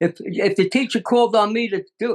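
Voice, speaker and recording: At a moderate pace, a man is talking. His pitch varies in an ordinary way. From US Northeast, Brooklyn, New York. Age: 90s. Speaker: natural health expert. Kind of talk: interview.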